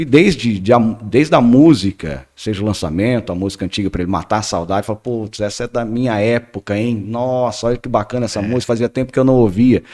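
Very fast, a man speaks at a medium pitch with ordinary pitch variation, in a very clean, dry, close recording with a silent background and no echo. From Paraná, Brazil. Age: 30s. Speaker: radio station director. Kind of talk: casual chat.

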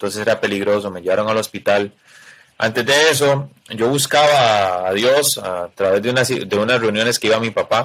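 At a moderate pace, a man with a Costa Rican accent speaks at a medium pitch with ordinary pitch variation. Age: 20s. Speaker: wheelchair user, former youth footballer. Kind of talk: testimony.

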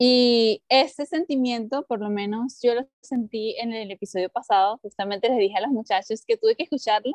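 With music in the background, a woman's shrill, fairly high voice runs at a moderate pace with hardly any pauses and ordinary pitch variation. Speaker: podcast co-host, teacher. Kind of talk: casual chat. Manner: gets louder and higher when excited.

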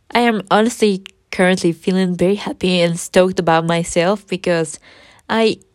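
A woman speaks at medium pitch and a moderate pace, with an unremarkable speaking voice. The recording is very clean, with a silent background. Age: 20s. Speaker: podcaster. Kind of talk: casual monologue.

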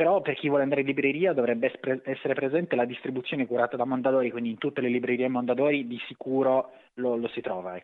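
Speaking very fast, a man has a slight Sardinian accent. His voice sits at medium pitch with fairly even intonation. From Sardinia, Cagliari. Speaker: author and magazine editor. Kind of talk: interview. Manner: halting, with repetitions.

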